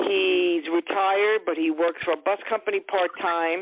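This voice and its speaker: Fairly even intonation and a fairly slow pace mark this speaker with a New York accent. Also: woman. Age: 60s. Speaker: caller. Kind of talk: phone-in psychic reading.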